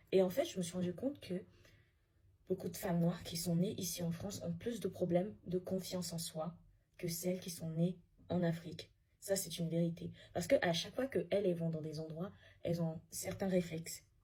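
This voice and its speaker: A woman speaks at a moderate pace with long, frequent pauses. Her fairly low voice is somewhat breathy, with a dark, mellow tone. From Africa. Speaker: social media commentator. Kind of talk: casual vlog monologue. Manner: halting with repetitions.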